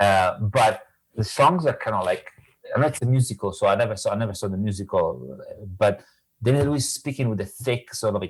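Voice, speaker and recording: With an Italian accent, a man talks at a fairly quick pace in a medium pitch, somewhat breathy, with ordinary pitch variation. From Italy. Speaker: professor of Italian literature. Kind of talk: casual chat. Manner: halting.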